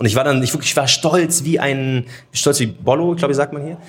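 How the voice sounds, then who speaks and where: Speaking at a very fast pace, a man comes through. There is a somewhat breathy quality to his voice. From Munich, Germany. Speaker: social media host and podcaster. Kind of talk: casual chat. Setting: live recording in a theatre foyer with audience.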